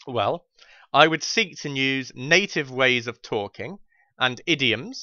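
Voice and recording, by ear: The voice has a clear, smooth tone that is also bright and sharp. It moves at a fairly slow pace with a dry, close sound and no echo. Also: man.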